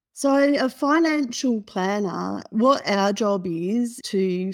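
With an Australian accent, a woman speaks at medium pitch in a very clean recording with a silent background. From Australia (Perth). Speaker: financial planner. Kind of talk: interview.

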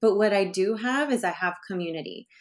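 On a very clean recording with a silent background, a woman with a Californian accent speaks at a moderate pace with lively intonation. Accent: Californian American English. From US West Coast, San Francisco Bay Area. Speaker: sexologist and brand founder. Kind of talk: interview.

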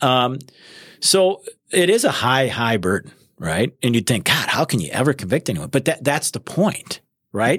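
A man with a medium-pitched voice and vocal fry swings his pitch very widely, heard in a dry, close recording with no echo. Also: moderate pace. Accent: American. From Wisconsin. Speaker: criminal prosecutor. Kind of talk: casual interview.

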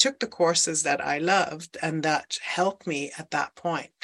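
A woman speaks in a Dutch accent at a fairly slow pace. Her tone is bright and sharp. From Netherlands. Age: 50s. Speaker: life coach. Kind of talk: interview.

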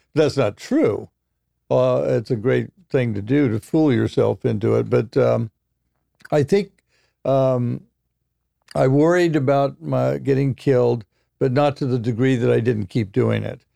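A man with a General American accent, long and frequent pauses, and a dry, close sound with no echo. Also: fairly slow pace. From Oregon. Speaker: photojournalist. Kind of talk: interview. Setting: studio.

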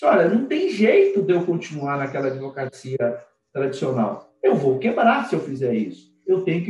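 Music behind a man whose pitch swings very widely. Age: 50s. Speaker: lawyer. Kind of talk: casual interview. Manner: animated.

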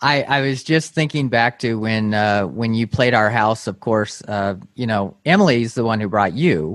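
Against a quiet background, a man with an unremarkable speaking voice and medium pitch talks at a moderate pace with ordinary pitch variation and hardly any pauses. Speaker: podcast host. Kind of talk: interview conversation.

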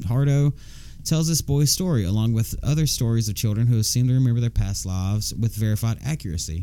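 A man speaks fairly quickly with a Southern US accent, a medium pitch and lively intonation. Noticeable background noise runs behind him. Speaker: podcast co-host. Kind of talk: casual chat. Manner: loud; animated.

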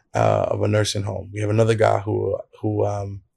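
A man with a New York accent speaks at a moderate pace on a very clean recording with a silent background. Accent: New York (Brooklyn) English. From Brooklyn, New York. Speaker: church planter and pastor. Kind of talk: interview. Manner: casual, with many fillers.

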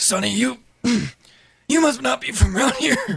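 A raspy, put-on character voice at a moderate pace. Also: man, high pitch for a man.

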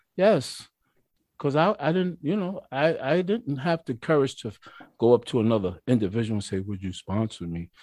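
The recording is very clean, with a silent background. A man's voice moves through very wide pitch swings. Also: medium pitch for a man, moderate pace. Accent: New York. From New York, Mount Vernon. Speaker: recovering alcoholic sharing his story. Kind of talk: testimony. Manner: animated.

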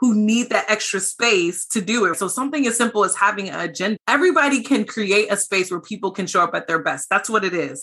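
A woman with an American accent talks at a fairly quick pace in an animated, bright, sharp tone, at medium pitch with ordinary pitch variation. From US, small town. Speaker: CEO of diversity technology company. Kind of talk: interview conversation.

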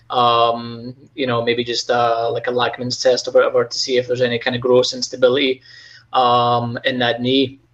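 A man with a slight Scottish accent at a moderate pace, monotone and flat, against a quiet background. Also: medium pitch for a man. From Scotland. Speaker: physical therapist, clinic manager. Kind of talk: casual interview chat.

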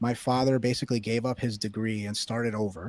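With a New York accent, a man talks at a medium pitch in a monotone, flat way. The recording is very clean, with a silent background. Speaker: writer. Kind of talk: casual chat.

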